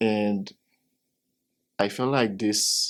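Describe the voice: A man's fairly low pitch, very slow pace and fairly even intonation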